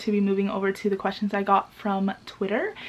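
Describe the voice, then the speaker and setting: Someone with an American accent talks at a fairly quick pace amid noticeable background noise. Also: woman. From US Pacific Northwest, Seattle. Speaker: YouTuber. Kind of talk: casual Q&A vlog. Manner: animated.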